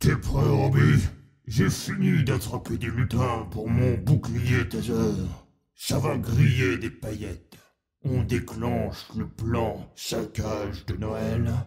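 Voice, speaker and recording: A man's put-on character voice at a medium pitch and a very slow pace. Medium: audio drama. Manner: brash, military report style.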